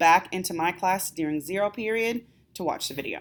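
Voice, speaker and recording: The speaker is a woman with ordinary pitch variation. She talks at a fairly quick pace. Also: very clean recording, silent background. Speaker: math teacher. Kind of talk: classroom instruction video. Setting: recorded video for students. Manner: fast.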